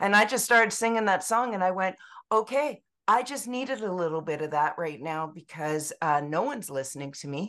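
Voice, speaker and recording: A woman with a Canadian accent, medium pitch and very wide pitch swings, at a fairly quick pace against a quiet background. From British Columbia, Canada. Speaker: music therapist and author. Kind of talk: interview.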